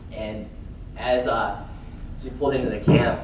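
Light background noise and audible room echo accompany a man's voice. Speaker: conference speaker. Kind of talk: motivational talk. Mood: earnest, recounting hardship. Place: hall.

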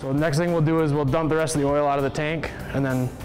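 A very fast-speaking man with faint music in the background. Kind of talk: tutorial. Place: workshop.

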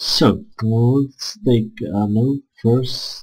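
A man with a Czech accent speaks at a medium pitch, his voice somewhat breathy. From Czech Republic. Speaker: gaming YouTuber. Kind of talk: gameplay commentary. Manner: halting, many filler sounds.

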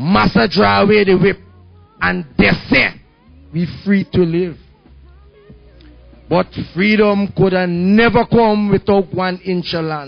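A man's high-pitched voice, very slow, with long, frequent pauses, ordinary pitch variation and faint music in the background. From Guyana. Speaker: spoken word poet. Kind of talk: spoken word poetry performance. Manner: fiery. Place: cafe. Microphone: handheld.

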